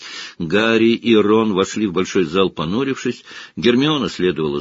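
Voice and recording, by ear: A natural voice reading text aloud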